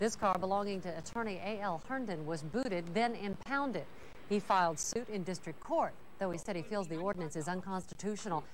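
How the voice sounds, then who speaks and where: In a normal speaking voice, the speaker talks at a fairly quick pace with lively intonation. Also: woman. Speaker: TV news reporter. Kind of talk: 1988 local TV news reporting, scripted, read as voiceover. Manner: crisp, even, formal newscast delivery.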